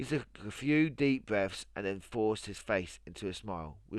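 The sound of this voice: The intonation is lively as this unforced reading voice goes on.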